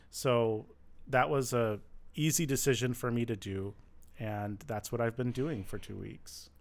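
A man with an American accent and a plain, everyday voice speaks at a fairly slow pace, with medium pitch and ordinary pitch variation. The recording is very clean, with a silent background. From Michigan. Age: 30s. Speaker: former finance manager. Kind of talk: interview. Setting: studio.

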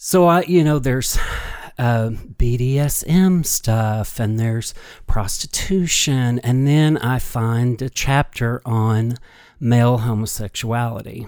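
At a very slow pace, a man speaks with a slight Kentucky accent. His pitch is medium, with ordinary variation. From Kentucky, small town (Sturgis). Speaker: storyteller and dancer. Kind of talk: storytelling interview.

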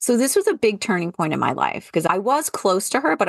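At a fairly quick pace, a woman speaks with vocal fry and lively intonation, in a dry, close sound with no echo and a quiet background. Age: 50s. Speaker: podcast host and former college professor turned entrepreneur. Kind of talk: casual interview conversation.

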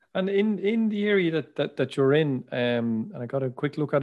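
Here a man speaks in an Irish accent at a fairly high pitch. The background is quiet. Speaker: agricultural podcast host. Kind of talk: interview.

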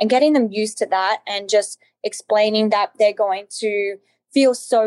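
A woman with an Australian accent speaks at a moderate pace with a fairly high pitch and ordinary pitch variation. The sound is dry and close, with no echo. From Australia, Alice Springs. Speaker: nutritionist and author. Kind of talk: interview.

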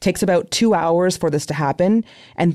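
A woman talks at a fairly quick pace with a fairly low pitch and ordinary pitch variation, in an unremarkable speaking voice. The recording is very clean, with a silent background. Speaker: podcast host. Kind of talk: interview conversation, news podcast.

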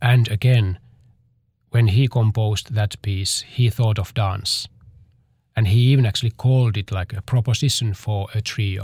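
Somewhat breathy and fairly low in pitch, a man speaks at a moderate pace with fairly even intonation on a very clean recording with a silent background. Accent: Finnish. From Finland. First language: Finnish. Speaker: dancer and choreographer. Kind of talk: interview. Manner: halting.

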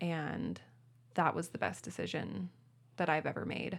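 Speaking at a moderate pace with an American accent, a woman uses a fairly low pitch, ordinary pitch variation and vocal fry. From Spokane, Washington, US. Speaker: pastor. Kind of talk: casual interview chat. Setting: studio, drinking rosé.

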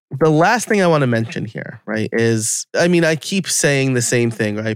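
A man uses a plain, everyday voice, medium in pitch, talking at a moderate pace with ordinary pitch variation. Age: 30s. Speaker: podcast host and podcast coach. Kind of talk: interview conversation.

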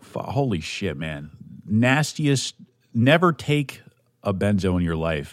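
A man's animated voice at a fairly slow pace, with very wide pitch swings, in a very clean recording over a silent background. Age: 20s. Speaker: podcast host. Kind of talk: casual monologue.

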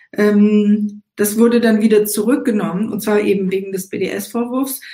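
Her voice somewhat breathy and fairly high, a woman talks at a moderate tempo with fairly even intonation. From Israel, Eilat; raised East Africa and Germany. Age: 60s. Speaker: musician and activist. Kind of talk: casual chat.

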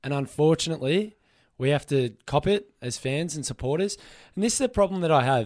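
A man with an Australian accent speaks at a fairly quick pace in a fairly high pitch, with lively intonation and a passionate tone. The recording is very clean, with a silent background. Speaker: sports radio host and Melbourne football fan. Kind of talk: angry, passionate rant about his football club letting fans down. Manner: emotional, fired-up, passionate, impassioned and vehement.

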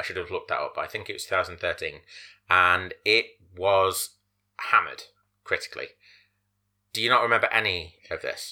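On a very clean recording with a silent background, a man speaks at a fairly quick pace with long, frequent pauses. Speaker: podcast host. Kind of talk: casual chat. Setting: podcast recording. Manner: serious, gravelly delivery when pitching.

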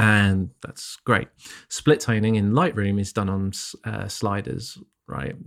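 On a very clean recording with a silent background, a man with a British accent speaks at a very slow pace, his fairly low pitch showing ordinary variation while his loudness swings widely. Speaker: photography podcast co-host. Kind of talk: casual chat.

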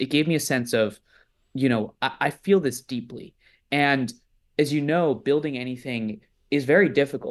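A man with an unremarkable speaking voice and an American accent, fairly high in pitch, at a moderate pace with ordinary pitch variation. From US East Coast. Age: 20s. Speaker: nonprofit leader, student movement organizer. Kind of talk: interview.

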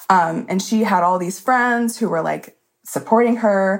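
A woman with an American accent speaks at a fairly slow pace and ordinary pitch variation. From Alabama, near Birmingham. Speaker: caller. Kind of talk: storytelling.

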